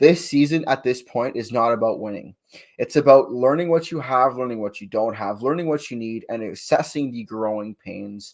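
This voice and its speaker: This man has an unremarkable speaking voice at a medium pitch, with ordinary pitch variation, big swings in loudness and a moderate pace, on a very clean recording with a silent background. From Canada, French-speaking. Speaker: hockey podcast co-host. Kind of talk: casual chat.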